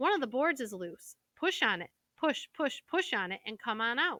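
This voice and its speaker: A woman puts on a character voice, high-pitched with very wide pitch swings, at a moderate pace. The recording is very clean, with a silent background. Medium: read story. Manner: fast, repeats words.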